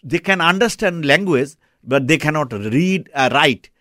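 A man with a Bengali accent, fairly high pitch and lively intonation, on a very clean recording with a silent background. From Bangladesh. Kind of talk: radio interview. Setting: studio. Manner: halting, with many fillers.

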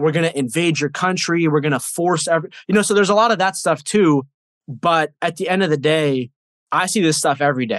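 Fairly quick and fairly high for a man, this is a normal speaking voice. His pitch varies in an ordinary way. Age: 20s. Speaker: nutrition coach and mental health advocate. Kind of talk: interview.

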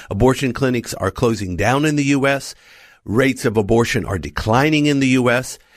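A man with an American accent and an unremarkable speaking voice, at a medium pitch with ordinary pitch variation and a fairly quick pace, on a very clean recording with a silent background. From United States. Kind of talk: radio interview. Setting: studio.

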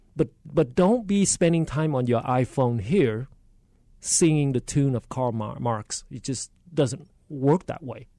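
A man with a Vietnamese accent speaks at a fairly slow pace in a fairly high, dark and mellow voice with lively intonation, recorded dry and close with no echo. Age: 60s. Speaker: state politician. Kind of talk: radio interview. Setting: studio.

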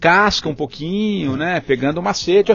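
A man's voice with very wide pitch swings, a moderate pace and music in the background. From São Paulo state, Brazil (capital and interior). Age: 40s. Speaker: journalist, former radio news director. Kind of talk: interview conversation.

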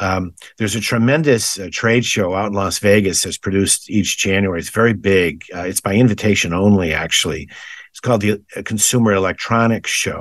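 A man with an American accent speaks at a fairly quick pace in a fairly low pitch, with ordinary pitch variation, big swings in loudness, and a quiet background. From western Massachusetts, West Springfield. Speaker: fair executive. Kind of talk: interview. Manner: halting, many fillers and repeats.

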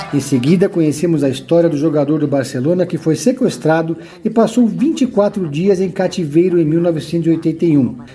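Fairly slow but with hardly any pauses, a man speaks in a high pitch and a dramatic tone. Music plays in the background. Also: ordinary pitch variation. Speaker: podcast host and series reviewer. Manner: measured, polished, dramatic-toned.

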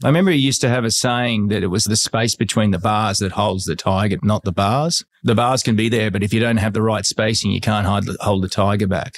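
A man with an Australian accent, fairly low pitch, fairly quick pace, hardly any pauses, very even loudness and ordinary pitch variation. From Australia (Sydney, Bronte). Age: 50s. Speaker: real estate agent. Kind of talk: casual interview conversation.

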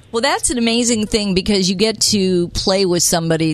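Clear background noise fills the recording. A woman talks over it. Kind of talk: radio DJ patter.

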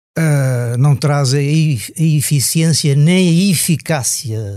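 A man's somewhat breathy, dark, mellow voice with ordinary pitch variation, on a very clean recording with a silent background. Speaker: motoring journalist. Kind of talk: casual interview.

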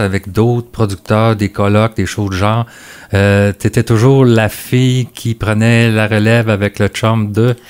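A man speaks at a fairly slow pace in a fairly low voice with monotone, flat intonation and very even loudness. The sound is dry and close, with no echo. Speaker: agriculture podcast host. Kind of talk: interview.

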